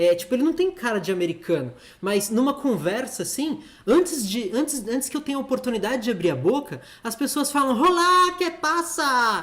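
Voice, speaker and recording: With a Brazilian accent, a man speaks at a moderate pace in an extremely high pitch, his bright, sharp tone marked by very wide pitch swings. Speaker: streamer. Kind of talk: live stream chat.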